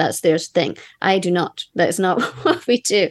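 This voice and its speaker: A woman speaks with a Scottish accent. Her pitch is medium, with ordinary variation. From Scotland. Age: 30s. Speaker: musician in a band. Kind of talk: casual chat.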